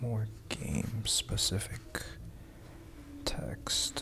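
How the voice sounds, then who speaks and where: Over noticeable background noise, a man whispers in a soft-spoken, calm tone at a very slow pace. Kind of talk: casual talk to camera. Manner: soft-spoken, whispered, calm.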